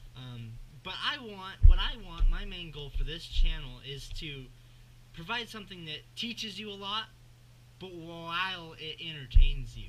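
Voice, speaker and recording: In audible room echo, a man with an American accent speaks fairly slowly in a high, bright, sharp voice, with lively intonation and big swings in loudness. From US Northwest. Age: young. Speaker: fishing YouTuber. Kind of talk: casual vlog intro and tutorial. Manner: hesitant, many fillers.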